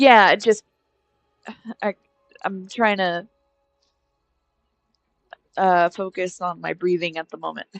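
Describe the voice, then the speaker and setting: A woman puts on a strained character voice at a medium pitch, speaking at a fairly slow pace with music playing in the background. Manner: focusing on breathing, strained.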